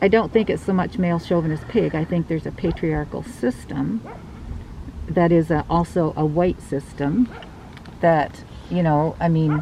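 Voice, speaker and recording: Noticeable background noise sits behind a woman with a fairly low pitch. She talks at a moderate pace with ordinary pitch variation. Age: 60s. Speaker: mayoral candidate. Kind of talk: street interview.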